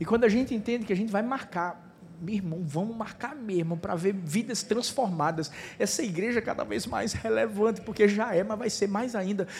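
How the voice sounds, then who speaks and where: Amid audible room echo, a man speaks at a high pitch with ordinary pitch variation. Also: moderate pace. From Recife, Pernambuco, Brazil. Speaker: pastor. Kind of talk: sermon. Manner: animated.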